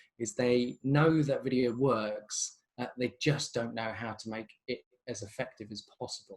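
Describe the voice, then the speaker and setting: The speaker has a plain, everyday voice with fairly even intonation. The pace is fairly slow. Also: man, medium pitch for a man. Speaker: creative director of a video agency. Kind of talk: webinar presentation. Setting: video call webinar.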